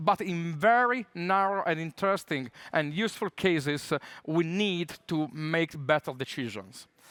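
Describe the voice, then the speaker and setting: With an Italian accent and lively intonation, this speaker talks at a moderate pace in a dry, close sound with no echo on a very clean recording with a silent background. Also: man, high pitch for a man. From Italy. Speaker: tech conference speaker. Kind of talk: conference talk. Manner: many filler hesitations.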